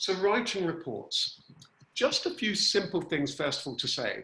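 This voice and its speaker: A man speaks with a bright, sharp tone and very wide pitch swings. The background is quiet, but room echo is audible. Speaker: workshop facilitator. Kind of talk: online workshop tutorial. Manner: chatty. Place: home room. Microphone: video call.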